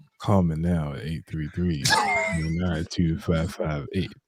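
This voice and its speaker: A man's put-on character voice, raspy and very deep and low, fairly slow and fairly even in intonation. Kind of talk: broadcast announcer cadence.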